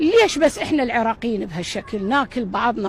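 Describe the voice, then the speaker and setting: Over noticeable background noise, a woman with an Iraqi accent speaks at a fairly quick pace in an animated tone. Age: 60s. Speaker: football fan. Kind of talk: impassioned appeal.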